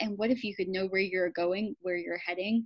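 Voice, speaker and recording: A woman speaks with music in the background. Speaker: business coach and workshop facilitator. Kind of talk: interview on a video call. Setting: video call. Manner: intense, energetic.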